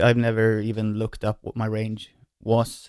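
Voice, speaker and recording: Speaking at a fairly slow pace, a man talks with a Swedish accent. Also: very clean recording, silent background. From Sweden. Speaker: singer and musician. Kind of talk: casual vlog talk. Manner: hesitant, many fillers.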